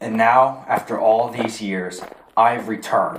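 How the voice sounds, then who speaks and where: A man performs a put-on character voice at a medium pitch. He goes at a fairly slow pace with fairly even intonation. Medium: short film. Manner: sneering, menacing.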